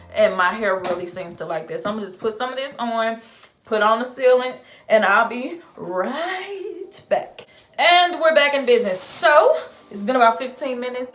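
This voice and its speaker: In a Southern US accent, a woman's high voice makes very wide pitch swings and big swings in loudness over noticeable background noise. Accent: Southern drawl, sounds Texan to viewers. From St. Louis, Missouri (US Midwest, Southern culture). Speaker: beauty vlogger. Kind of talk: product review tutorial. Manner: casual, chatty.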